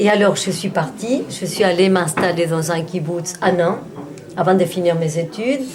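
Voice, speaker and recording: The speech comes at a fairly slow pace with ordinary pitch variation, with audible room echo and noticeable background noise. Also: woman, fairly low pitch for a woman. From Argentina. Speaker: painter. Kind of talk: casual chat. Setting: party with friends.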